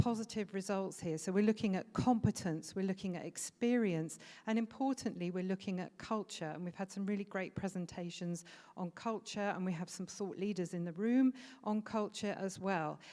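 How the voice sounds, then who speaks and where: With a British accent, this dark, mellow voice moves at a fairly quick pace. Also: woman. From Britain. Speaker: food safety trainer. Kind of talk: conference presentation. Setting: conference stage with audience. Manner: hesitant with frequent fillers.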